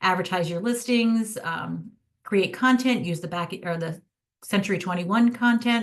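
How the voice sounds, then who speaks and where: Her pace is moderate. The woman sounds somewhat breathy. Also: medium pitch for a woman, ordinary pitch variation. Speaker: social media marketing rep. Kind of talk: product demo presentation to realtors.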